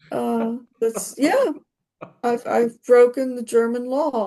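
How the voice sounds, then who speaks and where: Fairly high in pitch yet dark and mellow in tone, a woman's voice moves at a fairly slow pace. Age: 60s. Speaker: coaching call participant. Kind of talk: personal sharing in coaching session. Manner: halting.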